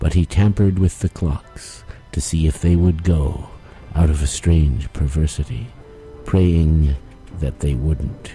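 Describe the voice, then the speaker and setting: Music plays in the background as a man with a very deep, low pitch speaks at a very slow pace. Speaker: audiobook performer. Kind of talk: fairy tale reading.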